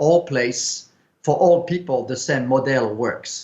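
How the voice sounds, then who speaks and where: A man with a strong French accent, fairly slow pace, and ordinary pitch variation. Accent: French, thick. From France. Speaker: film producer. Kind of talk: interview.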